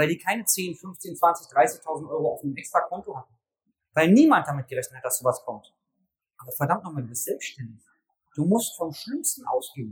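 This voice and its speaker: Talking fairly quickly, a man lets his loudness swing in big ways. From Berlin, Germany. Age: 40s. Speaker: personal trainer business coach. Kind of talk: live talk to an audience. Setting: stage at a trade fair with audience.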